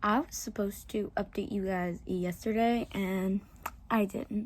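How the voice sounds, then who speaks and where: A somewhat breathy woman with an American accent and ordinary pitch variation, in a very clean recording with a silent background. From US South, Southern Louisiana. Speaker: book vlogger. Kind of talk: casual vlog.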